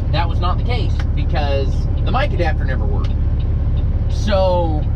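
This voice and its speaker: Loud noise runs through the background. Over it, a man talks at a moderate speed. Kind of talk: casual vlog chat. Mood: self-deprecating, amused. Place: car. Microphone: phone near.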